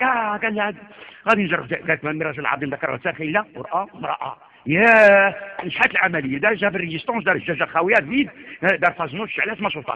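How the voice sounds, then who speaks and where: A man with a high-pitched voice talks at a fairly quick pace, his intonation lively. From Morocco. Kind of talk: sermon. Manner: animated.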